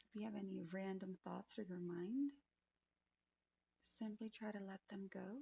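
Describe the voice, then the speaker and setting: A woman with a medium pitch speaks at a fairly slow pace in a dark, mellow, calm tone that is somewhat breathy, with ordinary pitch variation. Long, frequent pauses come through a dry, close sound with no echo. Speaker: podcast co-host. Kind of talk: guided meditation.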